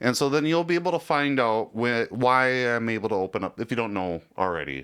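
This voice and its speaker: A man talks at a fairly quick pace in a plain, everyday voice. His pitch is medium and his intonation lively. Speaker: radio show host. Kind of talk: sports talk radio banter.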